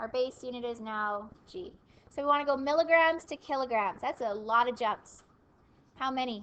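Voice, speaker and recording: A woman mumbles at a fairly slow pace in a high pitch. Her tone is bright and sharp, with ordinary pitch variation. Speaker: math teacher. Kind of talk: classroom lecture. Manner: mumbling.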